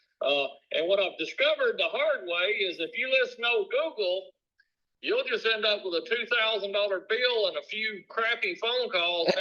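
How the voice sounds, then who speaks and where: A man with a Southern US accent speaks at a moderate pace. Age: 60s. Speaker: business owner. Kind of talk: sales call. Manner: casual.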